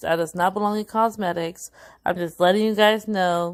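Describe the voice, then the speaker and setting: A woman's medium-pitched voice with fairly even intonation, over a quiet background. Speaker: beauty vlogger. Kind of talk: tutorial. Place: home room. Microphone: phone near.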